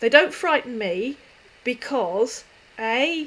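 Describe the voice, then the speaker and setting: A woman speaks in a southeast English accent. Her intonation is lively. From southeast England. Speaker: YouTube scam-baiting channel host. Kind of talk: live stream Q&A. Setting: live stream. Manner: hesitant with many fillers.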